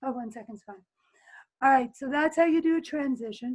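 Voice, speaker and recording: A woman's high-pitched voice, fairly even in intonation, against a quiet background. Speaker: teacher running a video editing workshop. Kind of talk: tutorial. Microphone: webcam.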